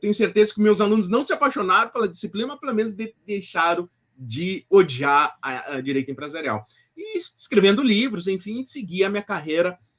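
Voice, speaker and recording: A man speaks at a fairly quick pace with a southern Brazilian accent. His pitch swings very widely and his loudness rises and falls sharply. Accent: gaúcho Brazilian Portuguese. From southern Brazil, Rio Grande do Sul. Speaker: law professor and author. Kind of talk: interview. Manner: halting, many fillers and restarts.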